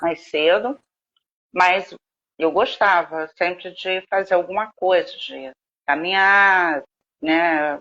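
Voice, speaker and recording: A woman's bright, sharp tone at a very slow pace, with ordinary pitch variation and long, frequent pauses. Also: medium pitch for a woman. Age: 60s. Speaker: author. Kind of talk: interview.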